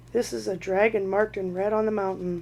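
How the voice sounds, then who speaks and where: A female-sounding put-on character voice speaks at a middle pitch and a fairly quick pace. Clear background noise can be heard. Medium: read story.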